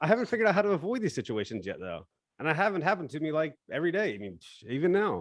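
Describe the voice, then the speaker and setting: A man talks very fast at a fairly high pitch with vocal fry and very wide pitch swings. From New Zealand. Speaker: standup comedian. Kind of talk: standup comedy set performed over a video call. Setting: online live stream, performing alone to a muted audience.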